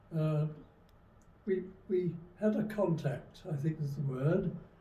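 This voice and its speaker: Audible room echo surrounds a man with a high pitch and a dark, mellow tone, whose pitch varies in an ordinary way. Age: 90s. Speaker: retired army veteran. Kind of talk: interview testimony. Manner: halting.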